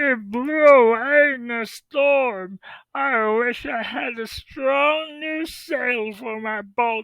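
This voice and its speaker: Using a put-on character voice, the speaker talks at a very slow pace with a fairly high pitch. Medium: read story. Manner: bleating.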